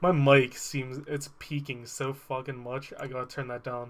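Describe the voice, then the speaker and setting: The speaker is a man. His pitch sits fairly high. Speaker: video game streamer. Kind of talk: casual live stream chat. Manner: loud.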